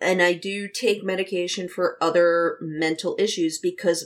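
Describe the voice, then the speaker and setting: In a normal speaking voice, a woman at a medium pitch goes at a fairly slow pace on a very clean recording with a silent background. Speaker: streamer, podcast guest. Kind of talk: casual chat.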